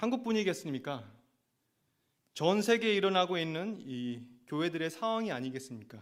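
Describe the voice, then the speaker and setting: With a high pitch and very wide pitch swings, a man speaks with long, frequent pauses amid audible room echo. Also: moderate pace. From Argentina. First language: Spanish (speaking Korean). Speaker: assistant pastor. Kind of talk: sermon.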